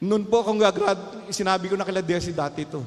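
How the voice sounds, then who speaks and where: Against noticeable background noise, a man with a high voice talks at a moderate pace. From Philippines, Calumpit, Bulacan. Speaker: pastor. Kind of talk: sermon.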